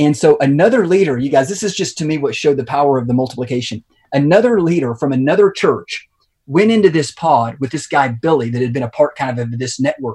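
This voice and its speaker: A man's fairly high, somewhat breathy voice at a very fast pace with lively intonation. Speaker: pastor. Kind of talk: interview.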